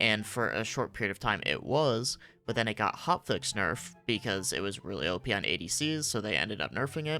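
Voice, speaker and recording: A man with a fairly low pitch and a bright, sharp tone speaks at a fairly quick pace with hardly any pauses, very wide pitch swings, and vocal fry. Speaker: gaming content creator. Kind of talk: game guide commentary. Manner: hushed, keeping voice down.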